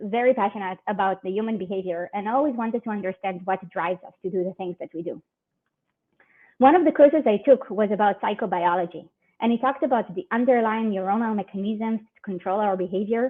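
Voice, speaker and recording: A woman with an Israeli accent, fairly high pitch, ordinary pitch variation, big swings in loudness, and a very fast pace. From Israel, near Tel Aviv. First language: Hebrew. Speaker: security research manager. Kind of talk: conference talk.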